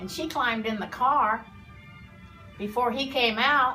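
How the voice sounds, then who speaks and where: With music in the background, a woman projects her high-pitched voice in a raised tone. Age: 80s+. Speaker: former beautician. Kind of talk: interview answer.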